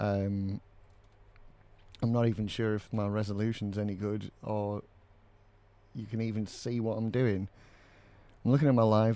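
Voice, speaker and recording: With long, frequent pauses, a man speaks at a moderate pace in a fairly low, monotone, flat intonation. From Britain. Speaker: cosplay armour maker streamer. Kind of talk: live stream casual chat while crafting. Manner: hesitant, many fillers.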